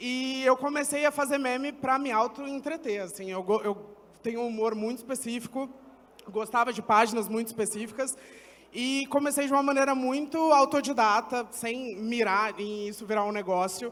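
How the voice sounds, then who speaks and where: Speaking at a moderate pace, a man uses an extremely high voice with ordinary pitch variation. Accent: São Paulo. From Brazil, São Paulo east side. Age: 20s. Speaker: agency founder and content creator. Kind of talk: panel discussion. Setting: stage with audience.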